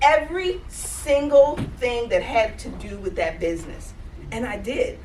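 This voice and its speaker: Over noticeable background noise and audible room echo, a woman in a Southern US accent speaks in an animated tone at a fairly slow pace. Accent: Southern US (Georgia). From Georgia, US South. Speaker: life coach, conference speaker. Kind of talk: motivational talk.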